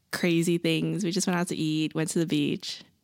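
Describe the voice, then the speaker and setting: A woman with a fairly low pitch and an ordinary speaking voice talks at a moderate pace in a very clean recording with a silent background. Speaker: college student. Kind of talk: casual chat.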